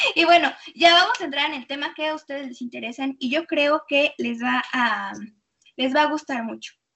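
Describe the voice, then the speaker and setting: With a Mexican accent, a woman at a high pitch talks at a moderate pace with ordinary pitch variation and big swings in loudness. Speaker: radio show host. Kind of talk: radio interview and chat. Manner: animated.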